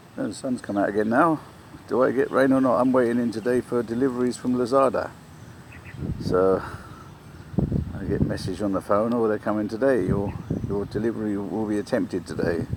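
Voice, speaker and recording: A man at a fairly quick pace with long, frequent pauses, over noticeable background noise. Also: medium pitch for a man, ordinary pitch variation. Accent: English. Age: 60s. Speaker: vlogger. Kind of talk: casual vlog monologue. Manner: rambling, halting.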